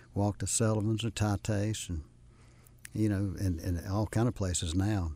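A man's somewhat breathy, fairly low voice with a dark, mellow tone and an American accent, on a very clean recording with a silent background. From US South, South Carolina. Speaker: retired business owner. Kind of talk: casual interview chat. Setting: radio studio.

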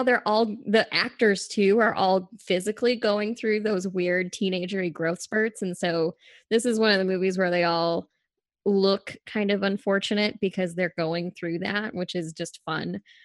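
Against a quiet background, with a dry, close sound and no echo, a woman talks slowly in an unremarkable speaking voice at a medium pitch. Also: ordinary pitch variation. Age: 30s. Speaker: film podcast guest. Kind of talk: casual chat.

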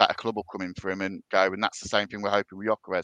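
A man with a Birmingham accent speaks at a fairly low pitch in a bright, sharp tone. The sound is dry and close with no echo. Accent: Brummie. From English Midlands, Birmingham area. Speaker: football fan guest. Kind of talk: casual chat.

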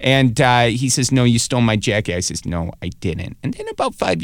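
A man at a medium pitch and moderate pace, with a slight Wisconsin accent. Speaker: comedian and web show host. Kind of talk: casual interview chat. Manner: halting, filler-heavy.

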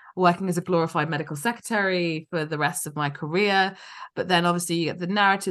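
Against a quiet background, a woman speaks very fast at a fairly low pitch with ordinary pitch variation. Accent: London. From London. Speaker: physician and company founder. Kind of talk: interview.

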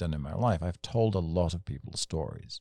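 A man's dark, mellow voice with an English accent at a fairly quick pace, on a very clean recording with a silent background. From England. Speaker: motorcycle storyteller. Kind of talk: casual chat. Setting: studio.

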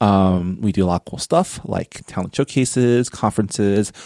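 A man's fairly low voice, dark and mellow in tone, with ordinary pitch variation and a dry, close sound with no echo. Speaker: nonprofit director and podcaster. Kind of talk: casual chat.

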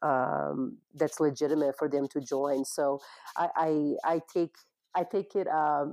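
In a Portuguese accent, a woman speaks with a very deep, low pitch, a dark, mellow tone and ordinary pitch variation. The recording is very clean and dry, close with no echo, over a silent background. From Brazil. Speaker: cannabis industry business development manager. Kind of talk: interview.

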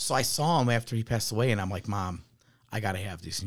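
A man talks very fast in a fairly low, somewhat breathy voice with an American accent. His pitch varies in an ordinary way. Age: 30s. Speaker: firefighter. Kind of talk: casual chat.

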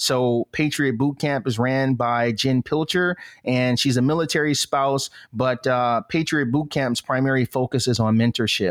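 This man has an ordinary speaking voice at a medium pitch. His loudness stays very even and his intonation fairly even. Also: moderate pace, very clean recording, silent background. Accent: American. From Flint, Michigan, US Midwest. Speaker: Army veteran and entrepreneur. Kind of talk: interview.

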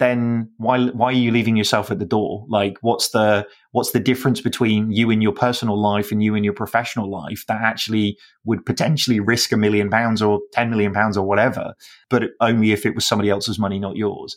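A man with a British accent talks at a fairly quick pace in a medium pitch. His intonation stays fairly even, and the recording is very clean with a silent background. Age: 40s. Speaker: business founder and CEO. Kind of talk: interview.

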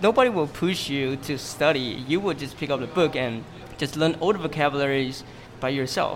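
Over music in the background, a man speaks at a moderate pace in a fairly high pitch with ordinary pitch variation. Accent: Mandarin. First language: Mandarin. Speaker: English teacher and study group organizer. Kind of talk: interview. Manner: halting.

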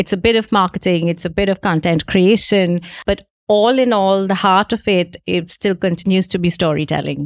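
In a dry, close recording with no echo and a quiet background, a woman with an unremarkable speaking voice talks at a moderate pace and medium pitch, her intonation fairly even and her loudness very even. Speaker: travel journalist and editor. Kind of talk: casual conversational interview.

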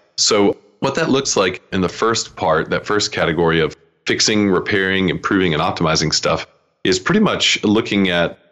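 Very deep, low tones from a man, delivered at a fairly quick pace. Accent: American. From US South, Atlanta. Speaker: SEO agency founder. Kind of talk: interview.

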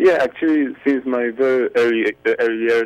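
A man with a Polish accent at a moderate pace. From Poland. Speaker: jazz violinist and composer. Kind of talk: interview. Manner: halting, many repetitions.

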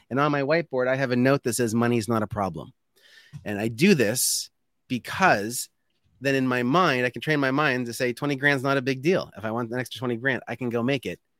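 Recorded very cleanly against a silent background, with a dry, close sound and no echo, a man speaks in a plain, everyday voice at medium pitch with ordinary pitch variation. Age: 30s. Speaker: sales trainer and author. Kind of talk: casual interview.

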